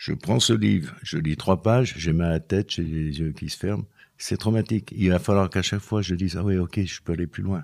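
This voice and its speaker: At a fairly quick pace, a man speaks in a very deep, low voice with ordinary pitch variation. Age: 70s. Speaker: former mason, author. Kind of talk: testimony interview. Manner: halting.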